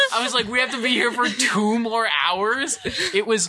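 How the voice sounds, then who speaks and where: With an American accent, a man speaks in a raised, projected voice. His tone is animated and his pace fairly slow. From Cleveland, Ohio. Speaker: college radio host. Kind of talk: casual chat.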